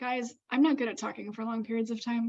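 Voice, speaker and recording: Loud and high-pitched, a woman speaks at a fairly quick pace. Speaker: event organizer and livestream host. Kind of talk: livestream chat. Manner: stumbling, many fillers.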